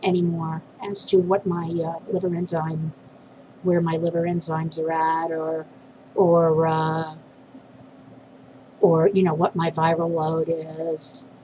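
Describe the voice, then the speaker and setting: Somewhat breathy, a woman with a fairly low pitch speaks at a very slow pace in a monotone, flat intonation, with long, frequent pauses. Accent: American. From New York City. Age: 50s. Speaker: vlogger. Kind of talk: personal video diary. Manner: halting, many fillers.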